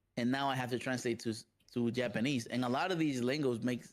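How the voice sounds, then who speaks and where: A man with a Spanish accent, medium in pitch, at a fairly quick pace and with fairly even intonation. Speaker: professional fighting game player. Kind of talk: interview.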